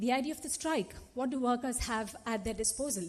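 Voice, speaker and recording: Speaking fairly quickly with a Telugu accent, a woman uses a high pitch and lively intonation. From India (Telugu-speaking). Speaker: activist and conference panelist. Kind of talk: panel talk. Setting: conference auditorium. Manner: animated.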